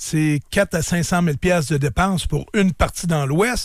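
In a very clean recording with a silent background, a man with an unremarkable speaking voice talks at a fairly slow pace and fairly high pitch, with ordinary pitch variation. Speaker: businessman and sports team owner. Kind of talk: radio interview. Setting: radio studio.

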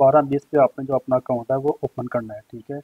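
Pitched medium for a man, his voice shows little pitch movement and sounds dry and close with no echo.

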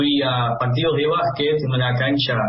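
A man with an Argentine accent at a fairly high pitch, fairly slow pace and ordinary pitch variation, with audible room echo and light background noise. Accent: fluent Argentine-sounding Spanish. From Netherlands. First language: Dutch (speaking Spanish). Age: 20s. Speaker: football fan club organizer; interviewee. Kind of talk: interview. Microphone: video call.

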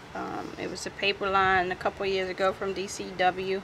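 Over noticeable background noise, a woman talks at a medium pitch and a fairly slow pace. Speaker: crafter. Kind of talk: tutorial.

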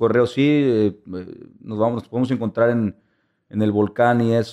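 The voice has a dark, mellow tone and fairly even intonation, moving at a moderate pace over a quiet background. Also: man. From Monterrey, Mexico; Mexico. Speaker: photojournalist and documentary filmmaker; photojournalist. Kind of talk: interview. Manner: halting. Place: studio. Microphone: studio mic.

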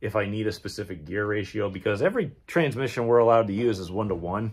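An ordinary speaking voice moves at a moderate pace with ordinary pitch variation. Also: man. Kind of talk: casual vlog chat. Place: garage. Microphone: phone near.

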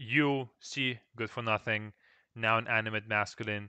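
The speaker has a Russian accent and a bright, sharp tone at a moderate pace. The sound is dry with no echo, and the background is quiet. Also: man. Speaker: Russian language teacher. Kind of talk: live stream Q&A lesson. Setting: live stream with microphone. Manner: casual, repetitive with fillers. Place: home room. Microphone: headset.

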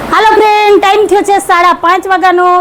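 A loud woman's voice at an extremely high pitch, with noticeable background noise. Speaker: family vlogger. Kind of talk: casual vlog narration.

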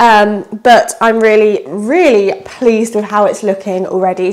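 Her pitch variation is ordinary. The speaker is a woman. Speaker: vlogger. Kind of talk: casual vlog chat. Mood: cheerful and excited. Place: home room. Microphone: phone near.

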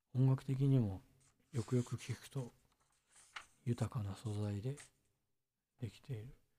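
A man speaks in a relaxed tone at a fairly slow pace, his voice somewhat breathy and dark and mellow. His intonation is fairly even, with long, frequent pauses and big swings in loudness. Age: 30s. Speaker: musician. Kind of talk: casual chat. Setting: live stream.

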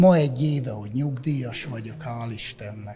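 A fairly slow pace with ordinary pitch variation, over light background noise. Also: man. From Dunaújváros, Hungary; Hungary. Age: 60s. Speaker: retiree. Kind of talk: interview. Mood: content, cheerful. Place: hall.

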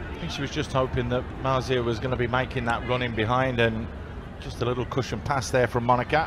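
Noticeable background noise sits behind a man's voice. He talks at a very fast pace with fairly even intonation. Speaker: co-commentator, match analyst. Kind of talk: commentary.

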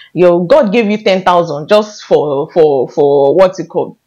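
A woman speaks in an animated tone with very wide pitch swings. The background is quiet. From Nigeria. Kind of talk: faith-based vlog talk to camera. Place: home room. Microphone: lapel.

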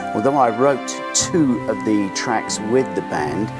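A man speaks at a fairly slow pace with clear music playing in the background. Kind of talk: casual explanatory talk to camera. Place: office.

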